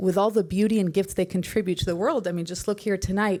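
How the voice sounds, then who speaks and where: Ordinary pitch variation in a woman's mid-range voice, captured on a very clean recording with a silent background. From US, Egyptian American family. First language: Arabic. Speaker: Marine widow, educator. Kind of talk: tribute speech. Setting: stage at gala. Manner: conversational, with fillers.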